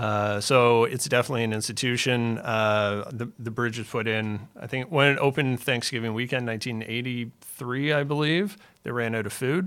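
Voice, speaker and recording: With a Canadian accent, a man uses a normal speaking voice at medium pitch and moderate pace, with ordinary pitch variation and hardly any pauses, in a very clean recording with a silent background. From Ontario, Canada. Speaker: real estate developer. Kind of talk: interview.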